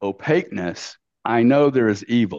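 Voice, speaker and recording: Lively intonation from a man with a Louisiana accent, medium in pitch, in a dry, close sound with no echo and a quiet background. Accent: Southern US (Louisiana). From US South, Louisiana. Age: 60s. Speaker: business executive and investor. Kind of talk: casual interview. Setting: remote call. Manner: animated.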